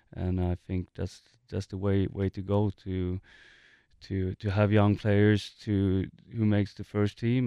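A man with a Swedish accent talks fairly slowly at a fairly low pitch in a dark, mellow tone and monotone, flat intonation, with a dry, close sound with no echo and a quiet background. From Sweden, Gothenburg. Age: 30s. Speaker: professional soccer player. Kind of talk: interview. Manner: halting, many fillers and repetitions.

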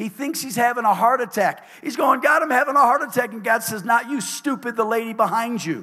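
The voice is raised and projected, with a bright, sharp tone, ordinary pitch variation and a moderate pace. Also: man. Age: 60s. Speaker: pastor. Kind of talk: sermon. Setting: church. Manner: animated.

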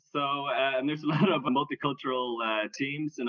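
A man speaks in an unremarkable speaking voice with ordinary pitch variation. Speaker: podcast host. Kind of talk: casual interview.

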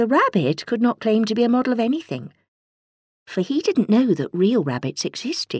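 A woman's fairly high voice with vocal fry and very wide pitch swings, at a moderate pace, in a dry, close sound with no echo. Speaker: audiobook narrator. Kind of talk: bedtime story reading aloud, gentle storytelling of a children's tale. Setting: studio. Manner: expressive, changes tone for characters and dialogue.

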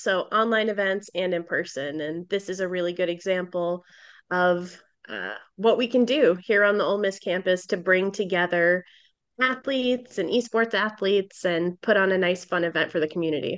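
A woman with an American accent talks in a plain, everyday voice at a medium pitch and moderate pace. Her pitch variation is ordinary, and the background is quiet. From Boston. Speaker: gaming company executive. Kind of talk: interview.

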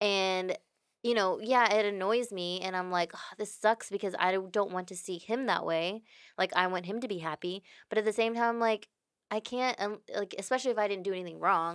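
A woman with a Texan accent at a medium pitch, fairly even intonation and a fairly quick pace, in a very clean recording with a silent background. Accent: Texan American English. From Houston, Texas. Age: 20s. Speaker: podcast guest, friend of host. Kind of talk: casual chat.

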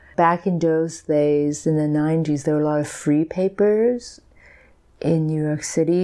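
A woman's voice sits very deep and low. Her tone is dark and mellow. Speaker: sculptor and artist. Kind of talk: casual interview chat.

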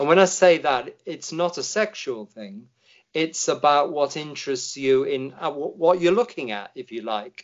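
A man speaks in an English accent at a moderate pace and fairly high pitch. His intonation is lively, and his loudness swings widely. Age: 60s. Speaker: Anglican vicar. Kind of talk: personal testimony in interview.

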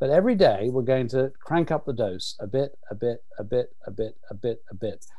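In an ordinary speaking voice, the speaker keeps a moderate pace with hardly any pauses and ordinary pitch variation. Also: man, medium pitch for a man. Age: 60s. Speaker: nutrition researcher. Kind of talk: interview.

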